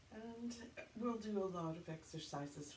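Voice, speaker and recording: Lively intonation from a woman, moderately paced, in a room with audible echo. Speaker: fitness instructor. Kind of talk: exercise class instruction. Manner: upbeat.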